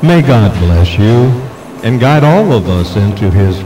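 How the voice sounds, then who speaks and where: Very slow and lively in intonation, a man speaks through noticeable background noise and audible room echo. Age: 70s. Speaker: political candidate. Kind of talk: campaign speech. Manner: formal.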